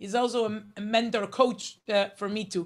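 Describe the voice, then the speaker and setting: A woman with an Israeli accent, fairly high in pitch, at a moderate pace. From Israel (Herzliya). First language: Hebrew. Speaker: journalist, speaker. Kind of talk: motivational talk. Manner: halting, many fillers.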